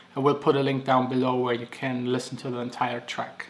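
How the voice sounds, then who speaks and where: A man with a non-native accent. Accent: non-native English, noticeable. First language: German. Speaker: DJ and music producer. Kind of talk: Q&A vlog. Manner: casual, some filler words.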